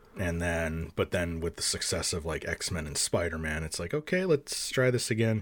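With hardly any pauses, a man talks in a very deep, low voice with ordinary pitch variation, on a very clean recording with a silent background. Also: moderate pace. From French Canada. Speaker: YouTube film reviewer. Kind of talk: casual chat.

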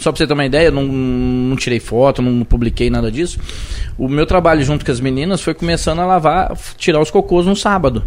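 A man at a fairly high pitch and fairly quick pace, with ordinary pitch variation and noticeable background noise. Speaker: city councillor and civil firefighter. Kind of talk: casual interview. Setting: live podcast studio.

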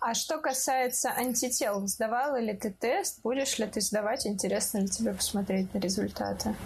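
With vocal fry and a fairly high pitch, a woman talks at a moderate pace with hardly any pauses. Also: ordinary pitch variation, very even loudness. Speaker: podcast host. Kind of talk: casual chat.

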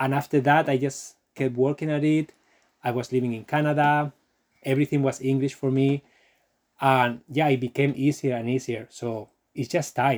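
A man's medium-pitched voice at a moderate pace. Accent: Spanish. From Spain, Barcelona. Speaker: online course creator and travel vlogger. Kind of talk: live stream Q&A. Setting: livestream video. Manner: animated.

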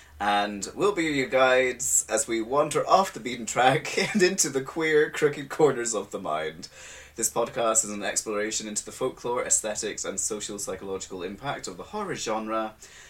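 Man at a moderate pace and medium pitch, with very wide pitch swings, big swings in loudness, hardly any pauses and noticeable background noise. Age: 30s. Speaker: podcast host. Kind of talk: casual chat. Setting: home recording space.

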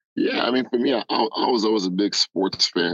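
At a moderate pace, a man speaks in a New York accent. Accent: New York American. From Nigeria, raised in the Bronx, New York. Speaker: guest, sports data professional. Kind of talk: casual interview conversation.

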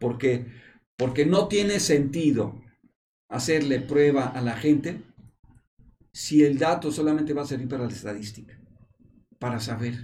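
Somewhat breathy and dark, mellow in tone, a man with a Mexican accent speaks at a fairly slow pace with long, frequent pauses and audible room echo. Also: fairly high pitch for a man, ordinary pitch variation. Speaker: epidemiologist. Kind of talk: panel discussion on a medical talk show. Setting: studio in a hospital.

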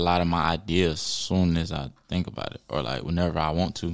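A man drawls in a raspy, low voice with little pitch movement.

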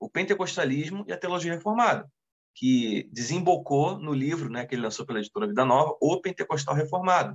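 This man's fairly high voice moves with lively intonation. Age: 30s. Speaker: deacon and seminary teacher. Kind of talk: casual chat. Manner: halting.

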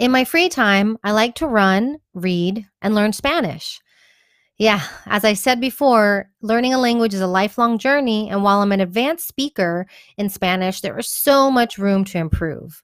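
A woman with an American accent speaks in a normal speaking voice, fairly high in pitch, at a moderate pace with lively intonation, on a very clean recording with a silent background and a dry, close sound with no echo. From Texas, Houston. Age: 30s. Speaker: community organizer and blogger. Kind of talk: scripted narration.

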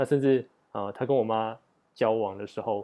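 A man talks at a moderate pace, his tone dark and mellow. His intonation stays fairly even against a quiet background. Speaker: podcast host. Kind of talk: solo podcast monologue. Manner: halting, many filler sounds.

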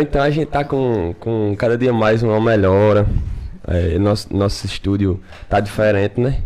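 A man's dark, mellow tone at very even loudness. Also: fairly low pitch for a man, ordinary pitch variation, moderate pace. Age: 20s. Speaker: podcast host, guest. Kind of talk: casual chat.

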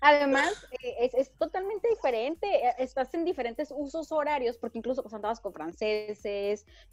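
High-pitched female speech, its pitch swinging very widely. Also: moderate pace, dry, close sound with no echo. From Ensenada, Baja California, Mexico. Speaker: traveler. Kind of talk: casual chat. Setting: video call.

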